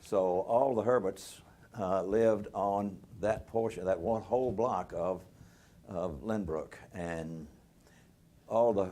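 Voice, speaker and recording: A man speaks with a Southern US accent at a fairly slow pace. His fairly low pitch keeps fairly even intonation. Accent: US South (Tennessee). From Nashville, Tennessee. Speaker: retired lawyer. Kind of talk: oral history interview. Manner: halting, many fillers.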